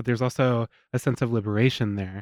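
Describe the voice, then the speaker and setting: The voice holds a monotone, flat intonation in a dry, close sound with no echo, on a very clean recording with a silent background. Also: man. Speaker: radio host. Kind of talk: interview, scripted intro. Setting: radio studio.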